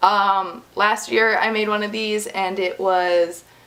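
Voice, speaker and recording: A woman talks with an American accent. There is noticeable background noise. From United States. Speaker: YouTuber / vlogger. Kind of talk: casual vlog monologue.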